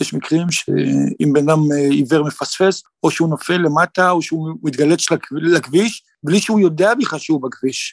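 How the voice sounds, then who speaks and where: With a normal speaking voice, a man talks at fairly high pitch and a moderate pace, with ordinary pitch variation and a dry, close sound with no echo. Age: 50s. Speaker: psychotherapist. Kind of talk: interview.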